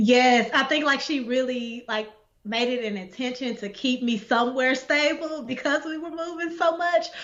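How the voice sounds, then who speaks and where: A woman speaks in a high pitch with ordinary pitch variation. Noticeable background noise can be heard. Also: moderate pace. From Texas, Dallas. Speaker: poet and essayist. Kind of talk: interview. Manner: casual, filler-heavy.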